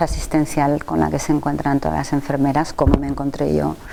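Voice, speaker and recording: A woman's voice over noticeable background noise. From Catalonia, Spain. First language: Catalan (speaking Spanish). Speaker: nursing researcher and professor. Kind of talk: interview.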